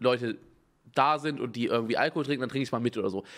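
A man talks at a very fast pace. His tone is animated. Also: quiet background. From Germany, not Bavaria. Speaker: streamer reacting to videos. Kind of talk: casual live-stream reaction commentary. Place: home room. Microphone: studio mic.

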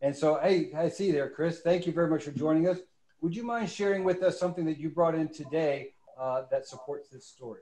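Speaking at a fairly quick pace, a man with a high pitch and a dark, mellow tone shows ordinary pitch variation and big swings in loudness. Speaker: museum education director; webinar host. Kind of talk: webinar moderation. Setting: studio.

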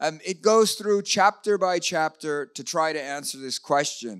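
A bright, sharp tone at a moderate pace, with ordinary pitch variation and a quiet background. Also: man. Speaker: speaker. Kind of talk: lecture. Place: hall. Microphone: handheld.

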